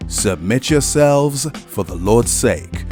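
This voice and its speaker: Music plays in the background while a man speaks at a very slow pace. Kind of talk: scripture reading. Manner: authoritative, commanding.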